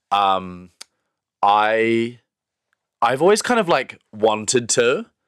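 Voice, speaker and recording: This man speaks in a New Zealand accent at medium pitch. His pitch swings very widely. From New Zealand, Wellington. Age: 20s. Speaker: pride festival director. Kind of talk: casual interview chat.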